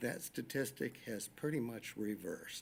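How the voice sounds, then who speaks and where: Medium pitch and a normal speaking voice from a man, at a fairly slow pace. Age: 60s. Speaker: public commenter at school board meeting. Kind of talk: public comment.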